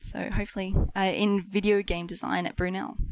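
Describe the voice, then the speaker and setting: In an Australian accent, this woman talks at a middle pitch. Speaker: marketing specialist. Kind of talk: casual chat. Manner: animated.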